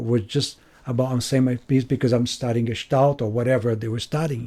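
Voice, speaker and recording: A man with a Brazilian accent speaks at a medium pitch in a dark, mellow tone. The recording is very clean, with a silent background. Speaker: retreat center staff member. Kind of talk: interview.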